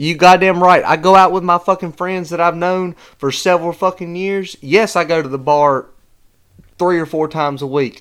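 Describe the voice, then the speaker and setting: A man's high-pitched voice with a Southern US accent, at a moderate pace with fairly even intonation, on a very clean recording with a silent background. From North Carolina. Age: 20s. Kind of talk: heated argument.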